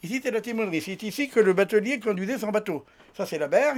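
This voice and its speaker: A man talks at a very fast pace. His pitch is high, with ordinary pitch variation. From France, raised on barges on canals. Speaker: retired bargeman, museum volunteer guide. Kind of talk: interview and guided tour.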